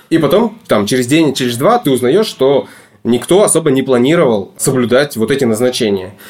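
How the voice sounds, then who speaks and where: With an unremarkable speaking voice at medium pitch, a man talks in lively intonation at very even loudness. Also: moderate pace. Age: 30s. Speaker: divorced father sharing custody. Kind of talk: interview, personal story. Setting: studio.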